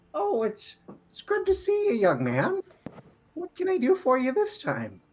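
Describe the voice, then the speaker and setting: A squeaky, put-on character voice comes through at a moderate pace. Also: man, extremely high pitch for a man. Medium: actual play. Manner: warm, kindly.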